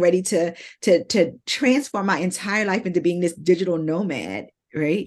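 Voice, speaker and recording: A woman speaks in a plain, everyday voice at medium pitch. Her pitch variation is ordinary, and the background is quiet. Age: 50s. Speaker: marketing business owner and author. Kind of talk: interview conversation.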